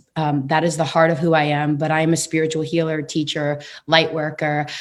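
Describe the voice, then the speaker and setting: Speaking in a New York accent, a woman talks at a moderate pace with a very deep, low pitch. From New York City, Queens. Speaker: numerologist. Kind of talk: interview.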